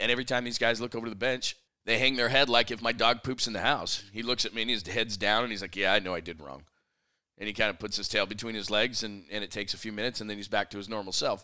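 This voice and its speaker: A man's fairly low, energetic voice with a bright, sharp tone, very fast pace and ordinary pitch variation, in a very clean recording with a silent background. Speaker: sports radio host and podcaster. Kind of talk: solo sports talk podcast.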